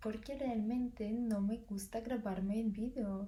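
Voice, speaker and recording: Speaking very slowly in a Russian accent, a woman keeps her fairly high pitch in fairly even intonation. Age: 20s. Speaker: university student. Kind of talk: casual talk to camera.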